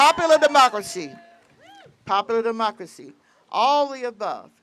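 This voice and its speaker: Background music can be heard. The talking keeps a moderate pace. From US South, rural Virginia. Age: 80s+. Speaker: patient advocate. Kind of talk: rally speech. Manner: halting.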